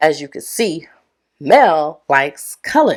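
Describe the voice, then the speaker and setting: An animated woman speaks with an American accent. Her voice is fairly low. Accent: Detroit accent with slight island twang. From Caribbean island, then Detroit. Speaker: podcast host, personal branding coach. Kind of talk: casual podcast monologue.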